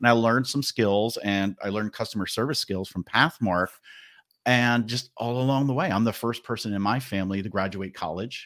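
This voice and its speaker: In a normal speaking voice with an American accent, a man talks at a fairly quick pace with ordinary pitch variation in a very clean recording with a silent background. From New Jersey, New York area. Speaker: marketing manager and podcast host. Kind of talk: casual interview.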